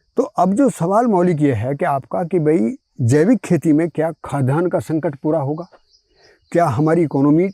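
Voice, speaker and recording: Lively intonation runs through a voice with a dark, mellow tone. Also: man, fairly high pitch for a man, dry, close sound with no echo. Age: 70s. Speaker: farmer. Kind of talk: interview.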